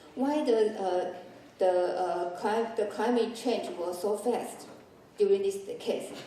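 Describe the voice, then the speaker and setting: Amid noticeable background noise and audible room echo, a woman speaks at a fairly slow pace in a fairly high pitch. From Taiwan. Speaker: chemist and conference speaker. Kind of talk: presentation. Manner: halting, many fillers.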